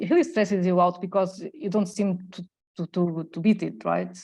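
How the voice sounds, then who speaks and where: A woman, using an ordinary speaking voice, delivers her words at a moderate pace. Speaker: therapy trainee. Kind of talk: role-play practice.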